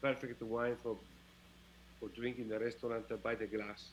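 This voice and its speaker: A man is speaking. He has a strong Italian accent. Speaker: winemaker. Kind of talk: live-streamed wine tasting chat. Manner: halting, hesitant.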